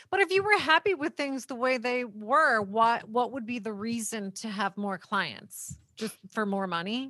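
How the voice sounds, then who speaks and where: Here is a normal speaking voice from a woman with lively intonation. She talks at a fairly slow pace with hardly any pauses. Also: fairly high pitch for a woman. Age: 40s. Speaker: podcast host and divorce lawyer. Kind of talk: casual interview.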